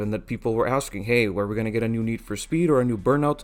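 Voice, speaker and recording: A man is speaking with a non-native accent. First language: not English. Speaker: gaming YouTuber. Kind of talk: casual commentary monologue.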